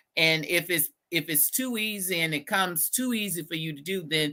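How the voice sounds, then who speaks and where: A bright, sharp voice with a Texas accent speaks at a fairly slow pace with ordinary pitch variation. The recording is very clean, with a silent background. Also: woman. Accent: Southern US (Texas). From US South, Southeast Texas (Beaumont). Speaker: educator. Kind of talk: podcast interview. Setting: live podcast.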